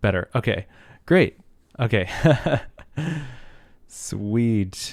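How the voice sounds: Putting on a rumbling character voice, a man speaks at a very slow pace with a fairly low pitch.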